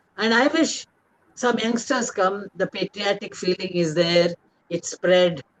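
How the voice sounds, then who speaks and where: A woman's medium-pitched voice with a Tamil accent, lively intonation and a fairly slow pace, dry and close with no echo. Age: 80s+. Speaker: author. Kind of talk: interview talk. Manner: halting.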